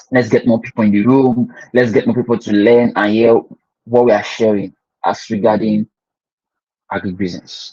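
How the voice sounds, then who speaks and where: In a Nigerian accent, the dark, mellow voice moves at a moderate pace with monotone, flat intonation and long, frequent pauses. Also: man, medium pitch for a man. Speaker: agribusiness educator. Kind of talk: online class. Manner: halting, with many repeated words.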